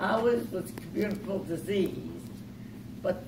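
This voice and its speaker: Noticeable background noise sits behind a woman speaking. Her intonation is lively and her pace moderate. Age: 80s+. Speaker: retired nurse. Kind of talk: lecture to an audience. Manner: hesitant, halting.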